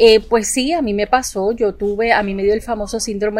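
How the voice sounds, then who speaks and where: Over a silent background in a very clean recording, a woman with an unremarkable speaking voice talks fairly quickly at medium pitch with ordinary pitch variation. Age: 40s. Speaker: psychologist and entrepreneurship coach. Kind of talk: casual interview.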